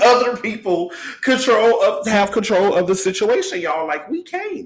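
An extremely high-pitched man's voice, animated in tone with lively intonation, at a moderate pace. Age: 30s. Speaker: podcast host. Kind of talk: casual monologue on relationships.

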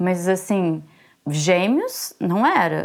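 A woman's unremarkable speaking voice at a medium pitch, with lively intonation, on a very clean recording with a silent background. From Brazil, Belo Horizonte. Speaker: lawyer and graduate student, mother of twins. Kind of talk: interview.

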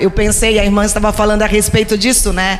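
Noticeable background noise and audible room echo surround the recording. A woman with a fairly high pitch talks at a fairly quick pace. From Brazil, Recife. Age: 50s. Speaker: pastor. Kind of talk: sermon.

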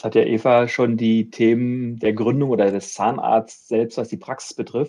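A man talks at a moderate pace with hardly any pauses, his pitch medium. His tone is dark and mellow, his intonation flat and monotone. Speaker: bank advisor for medical professionals. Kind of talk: interview.

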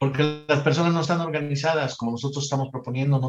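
This man talks at a very fast pace, his voice fairly high in pitch. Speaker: psychologist, economic reform advocate. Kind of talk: casual discussion.

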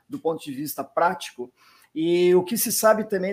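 With a southern Brazilian accent, a man speaks at a moderate pace in a high pitch, using ordinary pitch variation. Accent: gaúcho Brazilian Portuguese, noticeable. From southern Brazil, Rio Grande do Sul. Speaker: physician, rheumatologist. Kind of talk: interview.

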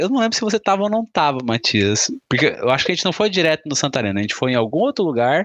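In a dry, close recording with no echo and a quiet background, a man with a fairly high pitch talks at a very fast pace, with hardly any pauses and very wide pitch swings. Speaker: podcast host. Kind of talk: casual chat.

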